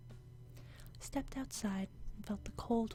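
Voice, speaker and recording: Music plays in the background. A soft-spoken woman talks at medium pitch with ordinary pitch variation. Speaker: gaming channel host. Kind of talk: quiet ASMR reading of a game's story. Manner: quiet, soft-spoken.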